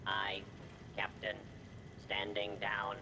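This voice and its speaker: A man's put-on character voice at a fairly low pitch, over loud background noise. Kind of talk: crisp, obedient, formal.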